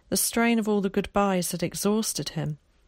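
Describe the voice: The speaker does plain reading aloud. Pitch varies in an ordinary way.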